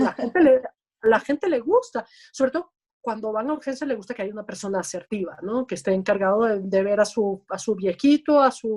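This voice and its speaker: Here a woman speaks in a fairly high pitch. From Venezuela, Caracas. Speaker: emergency physician. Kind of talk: interview. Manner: loud.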